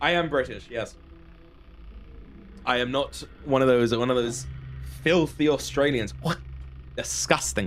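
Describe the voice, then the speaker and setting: A fairly slow male voice with long, frequent pauses and music in the background. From Britain. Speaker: gaming streamer. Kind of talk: live gameplay stream chat. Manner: animated.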